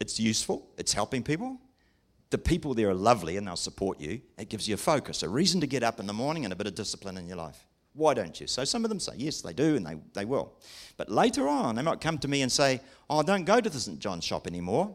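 On a very clean recording with a silent background, a man with an English accent talks very fast at a medium pitch, with very wide pitch swings and vocal fry. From England. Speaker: preacher. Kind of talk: sermon. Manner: lively.

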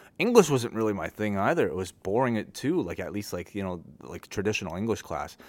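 With a Canadian accent and a plain, everyday voice, a man at a fairly low pitch speaks at a fairly quick pace on a very clean recording with a silent background. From Canada (Scarborough, Toronto), born in Hong Kong. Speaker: podcaster and journalist. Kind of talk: casual interview chat.

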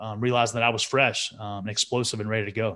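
Here is a normal speaking voice from a man at medium pitch. He speaks at a fairly quick pace, with ordinary pitch variation. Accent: American. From Texas, Amarillo. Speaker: Olympic wrestler. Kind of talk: interview conversation.

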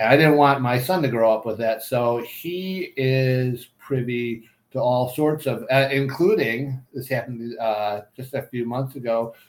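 A plain, everyday voice at a fairly slow pace, with hardly any pauses and ordinary pitch variation. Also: man, medium pitch for a man. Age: 50s. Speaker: parenting podcast co-host. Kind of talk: casual chat.

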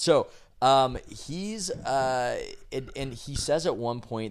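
This man has an unremarkable speaking voice at a medium pitch, with an American accent and lively intonation. The recording is very clean, with a silent background. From San Diego, California. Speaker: sports journalist and podcast co-host. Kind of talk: casual chat.

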